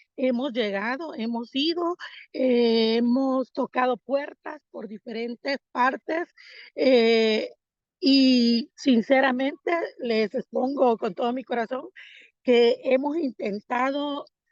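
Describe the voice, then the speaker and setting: A woman's high-pitched voice, very slow in pace, with ordinary pitch variation. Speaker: missionary. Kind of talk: mission report. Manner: hesitant, many fillers.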